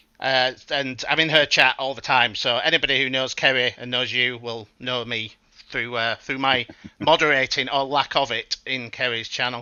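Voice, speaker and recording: With monotone, flat intonation, a man speaks at a moderate pace in a medium pitch. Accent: Yorkshire. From West Yorkshire, Bradford/Keighley area, northern England. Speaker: podcast guest, chat moderator. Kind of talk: casual chat.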